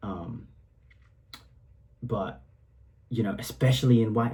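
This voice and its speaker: The tone is dark and mellow, and somewhat breathy. Delivery comes at a fairly slow pace. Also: man. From Singapore, Eurasian upbringing. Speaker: rapper. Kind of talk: casual track commentary. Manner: animated, casual with many fillers.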